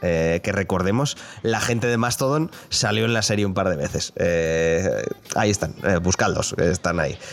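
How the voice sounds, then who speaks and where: A man talks with lively intonation at a fairly low pitch. Music can be heard behind him. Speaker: video game podcast host. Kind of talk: casual chat.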